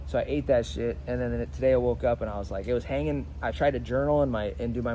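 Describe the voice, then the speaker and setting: In a room with audible echo, a man with a fairly low pitch talks in an animated tone, his pitch swinging very widely. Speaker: leadership coach. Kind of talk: motivational talk to camera. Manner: stutters at times; casual, animated.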